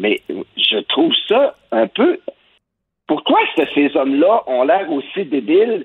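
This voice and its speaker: A man with a Quebec accent talks at a very slow pace. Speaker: cultural journalist. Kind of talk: opinion commentary.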